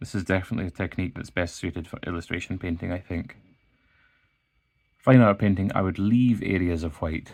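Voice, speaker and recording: A calm-toned man with a Scottish accent, a very deep, low pitch and a moderate pace. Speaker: illustrator. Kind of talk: art tutorial narration. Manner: calm, casual.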